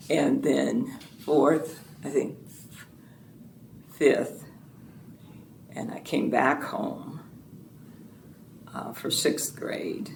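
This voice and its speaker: In an American accent, a woman talks at a very slow pace with long, frequent pauses, and audible room echo surrounds her voice. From US South, Fort Pierce, Florida. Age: 70s. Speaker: retired educator and former state representative. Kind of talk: oral history interview.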